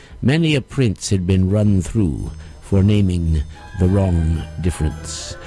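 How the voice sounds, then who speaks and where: Music plays behind a man with a very deep, low pitch. He talks at a fairly slow pace with lively intonation. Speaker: audiobook performer. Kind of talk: fairy tale reading.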